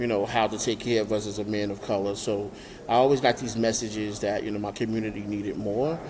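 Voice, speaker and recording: Talking at a very fast pace, a man with a New York accent keeps a monotone, flat intonation at a fairly low pitch. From Brooklyn, New York. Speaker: nonprofit founder. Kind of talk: interview. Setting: remote call. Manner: hesitant, many fillers.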